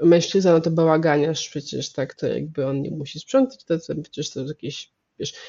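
A woman speaks at a moderate pace. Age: 30s. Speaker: medical anthropologist. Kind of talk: interview.

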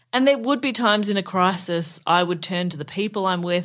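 A woman with an Australian accent, fairly low-pitched, talking very fast with ordinary pitch variation over a quiet background. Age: 30s. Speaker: comedian. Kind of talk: casual chat.

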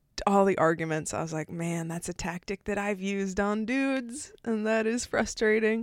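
Here is a woman with a normal speaking voice. Her pitch is medium. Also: ordinary pitch variation, moderate pace. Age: 30s. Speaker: comedian. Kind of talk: casual chat. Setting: filmed in person. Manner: laughs often.

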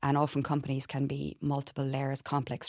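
Speaking very fast with a Cork accent, a woman has a very deep, low voice, captured in a very clean recording with a silent background and a dry, close sound with no echo. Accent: Irish, Cork. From Ireland, Bantry, West Cork. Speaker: compliance expert, company co-founder. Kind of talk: interview.

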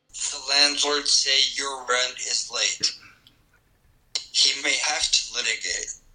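A man in a put-on character voice speaks at a fairly slow pace, leaving long, frequent pauses.

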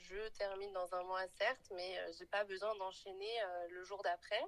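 With a bright, sharp tone at medium pitch, a woman speaks at a fairly slow pace. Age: 20s. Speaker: podcast guest, recent graduate in HR. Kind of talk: casual interview chat.

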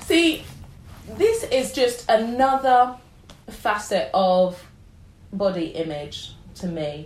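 Audible room echo surrounds a woman speaking with a London accent. She talks at a very slow pace with long, frequent pauses. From North London (Wembley). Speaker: blogger and body positivity campaigner. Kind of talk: interview conversation.

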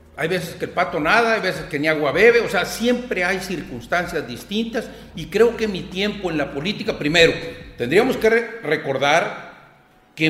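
Amid noticeable background noise and audible room echo, a man with a high pitch talks at a moderate pace using lively intonation. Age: 50s. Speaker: newspaper columnist. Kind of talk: casual interview conversation.

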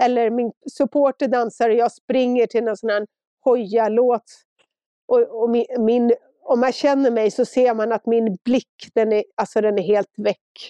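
In a dry, close sound with no echo, a woman with a fairly high pitch and a dark, mellow tone speaks in a monotone, flat intonation at a fairly slow pace. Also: very even loudness. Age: 50s. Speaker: ultrarunner. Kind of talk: interview.

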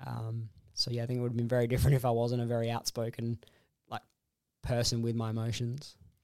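A man with an Australian accent speaks at a very fast pace in a monotone, flat intonation. Long, frequent pauses break up his speech. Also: medium pitch for a man. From Perth, Western Australia. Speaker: heart transplant recipient. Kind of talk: interview, personal story. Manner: halting, many fillers.

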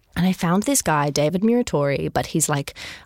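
A woman with a fairly low pitch speaks at a moderate pace with lively intonation. The recording is very clean and silent behind her, with a dry, close sound and no echo. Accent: Australian. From Sydney, Australia. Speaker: musical theatre creator. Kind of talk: interview. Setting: studio.

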